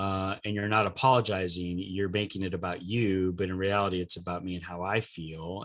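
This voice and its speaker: At a fairly quick pace, a man with a Californian accent speaks in a very deep, low pitch, his intonation fairly even. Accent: Californian American English. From US West Coast, Los Angeles. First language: Spanish. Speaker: diversity coach and trainer. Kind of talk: podcast interview. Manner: hesitant, many fillers.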